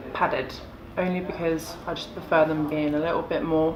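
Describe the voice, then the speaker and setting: Over noticeable background noise and audible room echo, a woman with an English accent talks very fast in a very deep, low pitch with monotone, flat intonation. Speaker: lingerie designer and brand founder. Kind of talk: casual interview. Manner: loud.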